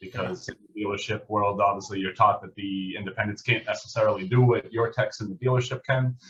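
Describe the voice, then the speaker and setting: Talking at a very fast pace with hardly any pauses, a man in a strong Massachusetts accent uses a medium pitch and big swings in loudness. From Massachusetts (southeastern, New England). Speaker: auto service manager. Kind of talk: podcast interview.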